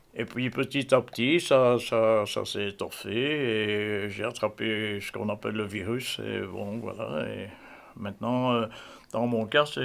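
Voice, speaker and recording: A man with a fairly low pitch and ordinary pitch variation speaks at a very slow pace on a very clean recording with a silent background. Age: 70s. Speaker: collector and museum owner. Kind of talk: casual interview.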